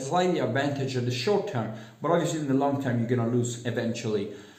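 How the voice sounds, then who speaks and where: A man with an Italian accent speaks at a medium pitch, with noticeable background noise and audible room echo. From Italy. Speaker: self-help vlogger. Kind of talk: casual monologue. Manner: halting, many fillers.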